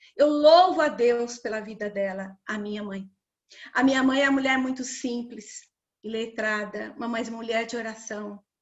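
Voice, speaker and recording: A woman's fairly high voice, a normal speaking voice, at a fairly slow pace with big swings in loudness. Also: ordinary pitch variation. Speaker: women's ministry speaker. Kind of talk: sermon. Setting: livestream.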